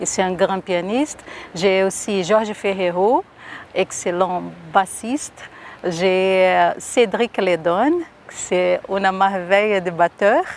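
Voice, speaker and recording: A woman speaks very slowly with a Brazilian accent, her medium pitch showing ordinary variation. Noticeable background noise can be heard. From Brazil, Rio de Janeiro. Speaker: singer and performer. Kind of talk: interview.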